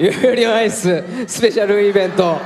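Over faint background music, a man with a high pitch talks at a moderate pace with ordinary pitch variation. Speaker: voice actor. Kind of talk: closing thank-you speech at live event. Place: stage. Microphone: handheld.

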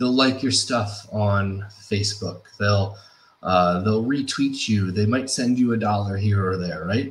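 A man's fairly low voice, somewhat breathy. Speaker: presenter. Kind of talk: lecture. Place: home room. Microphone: webcam.

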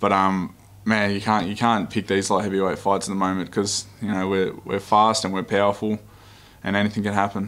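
A fairly low-pitched man with an Australian accent and monotone, flat intonation. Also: fairly quick pace. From Australia, Melbourne. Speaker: MMA fighter. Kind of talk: pre-fight media interview. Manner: casual, laid-back. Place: meeting room. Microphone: podium.

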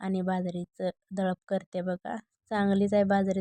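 In a dry, close sound with no echo, a woman speaks at a medium pitch with a dark, mellow tone and monotone, flat intonation.

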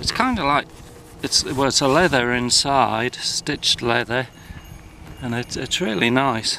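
A man speaks at a fairly slow pace with ordinary pitch variation, in a dry sound with no echo and light background noise. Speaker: motorcycle rider reviewing gear. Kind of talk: casual product review vlog. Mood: relaxed and pleased. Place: open country. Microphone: phone near.

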